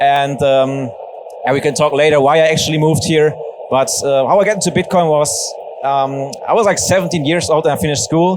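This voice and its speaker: A man talks at a fairly quick pace in a fairly high pitch, with ordinary pitch variation and very even loudness. Noticeable background noise and audible room echo surround him. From western Germany, near Bochum. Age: 20s. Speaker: Bitcoin educator and ambassador. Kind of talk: onstage fireside chat. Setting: stage with audience. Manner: casual.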